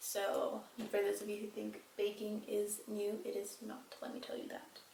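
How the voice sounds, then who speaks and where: A woman at a fairly slow pace amid noticeable background noise and audible room echo. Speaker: beauty vlogger. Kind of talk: makeup tutorial.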